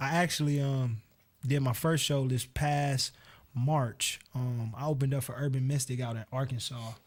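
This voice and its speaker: On a very clean recording with a silent background, a man talks with an American accent. His voice is somewhat breathy, with fairly even intonation. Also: medium pitch for a man, moderate pace. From US, Cleveland, Ohio. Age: 20s. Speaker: singer. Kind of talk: radio interview.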